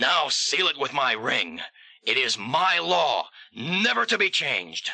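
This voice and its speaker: Using a put-on character voice, a man speaks at a fairly slow pace with a fairly high pitch and very wide pitch swings. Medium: audio drama.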